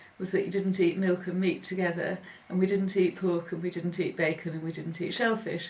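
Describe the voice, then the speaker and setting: Her intonation is monotone and flat as this woman speaks at a medium pitch. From northern England, Preston, Lancashire. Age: 50s. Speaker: oral history interviewee. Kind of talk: oral history interview. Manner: hesitant, with frequent ums.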